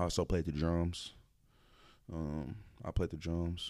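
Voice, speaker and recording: On a very clean recording with a silent background, a man with a very deep, low, dark, mellow voice speaks at a moderate pace in a monotone, flat intonation. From Dallas area, Texas. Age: 20s. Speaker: photographer and DJ. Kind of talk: casual chat. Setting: studio.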